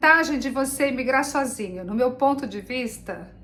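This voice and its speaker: A woman's high-pitched voice with a Brazilian accent and lively intonation. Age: 60s. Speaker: vlogger. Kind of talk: casual chat.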